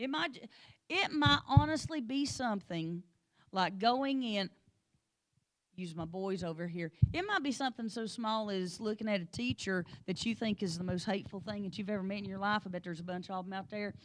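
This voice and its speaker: The delivery is fairly quick with lively intonation. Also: woman, medium pitch for a woman. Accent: rural Appalachian. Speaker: Sunday school teacher. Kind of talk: Bible study lesson.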